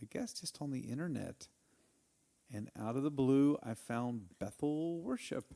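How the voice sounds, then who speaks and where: A man speaks at a fairly slow pace in a Texan accent. His medium-pitched voice has a dark, mellow tone and ordinary pitch variation. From Texas, Snyder. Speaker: church member, former ministry worker. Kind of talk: testimony.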